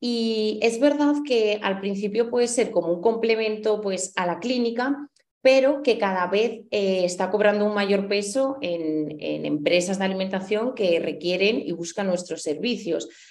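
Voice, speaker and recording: A woman speaks at a fairly slow pace with hardly any pauses. Her pitch is medium, with ordinary variation. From Spain, Huesca (Aragon). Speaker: dietitian-nutritionist and teacher. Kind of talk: interview.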